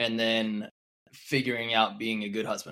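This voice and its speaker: A man speaks at a medium pitch and a very slow pace. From New York. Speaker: podcast host, beach volleyball coach. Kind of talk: casual podcast chat.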